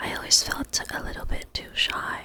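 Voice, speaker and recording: Moderate-paced whispering against noticeable background noise. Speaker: ASMR creator. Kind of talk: ASMR intro to camera, guided breathing. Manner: soft, calming, whispered.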